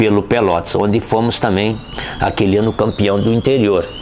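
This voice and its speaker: A man talks in a monotone with flat intonation and fairly low pitch. Noticeable background noise runs behind him. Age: 60s. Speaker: retired footballer. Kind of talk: interview storytelling. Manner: casual, conversational with fillers.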